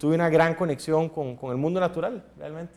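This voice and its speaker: A man with a Costa Rican accent speaks at a fairly high pitch. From Costa Rica, Guanacaste. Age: 40s. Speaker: political candidate. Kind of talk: interview.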